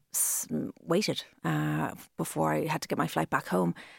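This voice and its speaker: A woman in a Cork accent at a fairly slow pace, on a very clean recording with a silent background. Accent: Irish, Cork. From Ireland, Cork. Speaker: fashion influencer. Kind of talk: interview.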